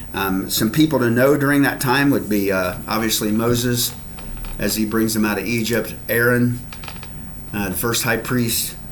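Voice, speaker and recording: There is noticeable background noise and audible room echo. A man talks at a moderate pace in a medium pitch with fairly even intonation. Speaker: Bible class teacher. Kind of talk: Bible study lesson. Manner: halting.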